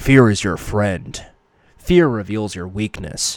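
At a fairly slow pace, a man uses a put-on character voice pitched fairly low. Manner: intense.

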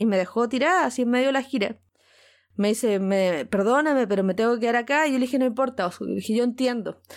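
On a very clean recording with a silent background, a woman with a Chilean accent talks at a fairly quick pace and fairly high pitch with ordinary pitch variation. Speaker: podcast host telling her story. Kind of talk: personal storytelling.

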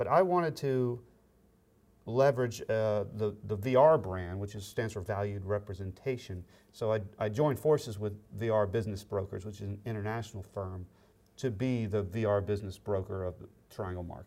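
On a very clean recording with a silent background, a man speaks at a moderate pace in a fairly low, dark, mellow voice with ordinary pitch variation. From US South (Florida, Alabama). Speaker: business broker and podcast co-host. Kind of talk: casual interview.

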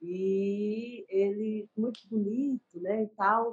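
A woman with a fairly high pitch speaks in a somewhat breathy voice with monotone, flat intonation. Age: 40s. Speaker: writer and poet. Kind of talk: casual chat. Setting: video call.

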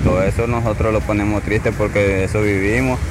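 The recording carries noticeable background noise. There is also audible room echo. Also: man. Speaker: fisherman. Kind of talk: interview.

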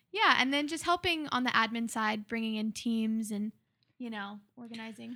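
In an ordinary speaking voice, a woman talks at a fairly high pitch with ordinary pitch variation and big swings in loudness. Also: moderate pace. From Oklahoma City, US. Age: 20s. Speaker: musician and missionary. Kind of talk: casual interview. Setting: studio.

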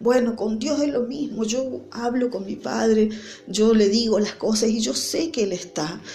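Speaking at a fairly slow pace, a woman has a medium-pitched voice. Audible room echo and noticeable background noise surround her. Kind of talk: devotional sermon. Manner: halting, with fillers.

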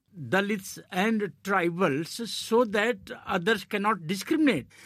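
Someone speaks at a very slow pace with an Indian accent. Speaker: journalist and political commentator. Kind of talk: panel discussion.

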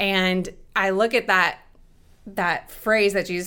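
In a very clean recording with a silent background, the words unfold at a fairly slow pace. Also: woman. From Toronto, Canada. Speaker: prayer ministry leader. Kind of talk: casual faith interview.

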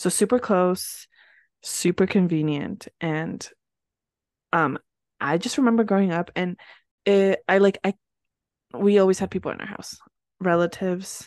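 A woman's medium-pitched, animated voice with ordinary pitch variation, at a moderate pace with long, frequent pauses, in a dry, close sound with no echo and a quiet background. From US Northeast (New Jersey). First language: Spanish. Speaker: podcast co-host. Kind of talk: casual chat. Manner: animated, laughs often.

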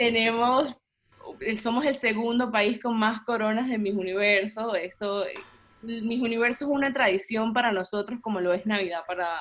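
A woman uses a normal speaking voice at a fairly high pitch. She keeps a moderate pace and fairly even intonation. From Venezuela, Puerto la Cruz. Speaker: body positivity influencer. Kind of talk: interview.

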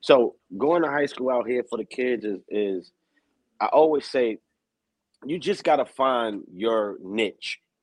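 A man with a medium pitch talks fairly slowly with lively intonation and long, frequent pauses. The sound is dry and close, with no echo. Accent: New York. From New York, Bronx. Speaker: streetball announcer. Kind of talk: interview. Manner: animated.

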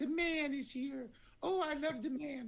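The speaker uses a put-on character voice with a high pitch. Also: moderate pace. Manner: delighted, happy.

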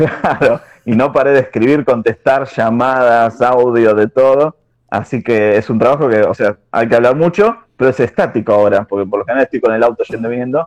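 A man with a Buenos Aires accent, at a fairly quick pace with ordinary pitch variation, in a dry, close sound with no echo. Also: medium pitch for a man. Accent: Buenos Aires rioplatense Spanish. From Argentina, southern Greater Buenos Aires (Lanús). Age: 30s. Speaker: churchgoer guest. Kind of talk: casual chat.

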